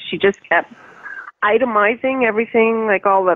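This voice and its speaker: A woman's voice with ordinary pitch variation against a quiet background. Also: dry sound with no echo. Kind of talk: phone conversation complaint. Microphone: phone line.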